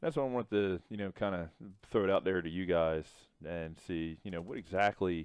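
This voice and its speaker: A man speaks at a very deep, low pitch with a slight Southern US accent. His pace is moderate and his pitch variation ordinary. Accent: slight Southern twang. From US South. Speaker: gaming vlogger. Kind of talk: casual chat over gameplay.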